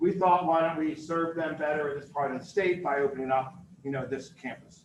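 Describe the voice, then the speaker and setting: Ordinary pitch variation in fairly quick speech, with noticeable background noise. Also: man. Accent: American. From Philadelphia, US. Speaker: university dean and campus director. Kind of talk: presentation to a business audience. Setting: live talk with in-person and online audience. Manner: loud; energetic.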